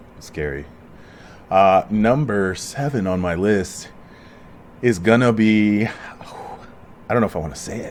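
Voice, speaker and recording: A man with an American accent and a fairly low voice speaks at a very slow pace with ordinary pitch variation and long, frequent pauses, over noticeable background noise. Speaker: podcast host. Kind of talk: casual chat. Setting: at home.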